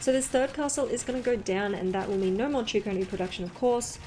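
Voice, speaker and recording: Noticeable background noise surrounds a woman speaking with an Australian accent and lively intonation. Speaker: esports caster. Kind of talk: live commentary. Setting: live stream. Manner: animated.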